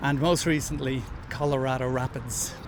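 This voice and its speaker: A man with an Irish accent talks at a moderate pace. The room echo is audible, and crowd noise sits in the background. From Ireland. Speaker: football podcast host. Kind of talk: podcast intro; live match commentary and chat.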